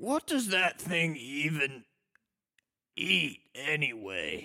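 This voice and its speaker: Raspy and gruff, a man's put-on character voice sits at a fairly high pitch, swinging very widely up and down at a very slow pace. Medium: actual play.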